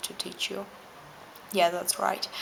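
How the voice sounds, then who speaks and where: Someone with a non-native accent speaks over noticeable background noise. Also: woman. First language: not English. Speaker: vlogger. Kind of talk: reading aloud with spontaneous asides.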